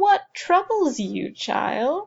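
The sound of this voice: Someone does a put-on character voice at a very slow pace, with a slightly mellow tone, vocal fry and big pitch swings. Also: woman.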